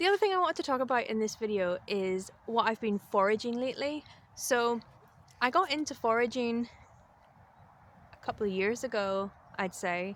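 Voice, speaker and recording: On a very clean recording with a silent background, the speaker uses a Northern Irish accent and lively intonation, leaving long, frequent pauses. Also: woman, fairly high pitch for a woman, moderate pace. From Northern Ireland. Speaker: spiritual vlogger and life coach. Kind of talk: casual vlog talk to camera. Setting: outdoors in the woods.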